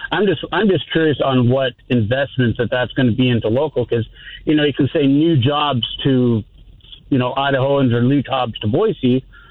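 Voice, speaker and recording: This man has an ordinary speaking voice at medium pitch, with ordinary pitch variation and a moderate pace. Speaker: radio caller. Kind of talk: call-in conversation. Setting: phone call.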